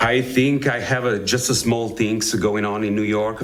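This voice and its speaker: In an Italian accent, a man speaks at a moderate pace and a fairly low pitch, with audible room echo around him. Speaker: actor. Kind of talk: interview. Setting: studio. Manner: halting.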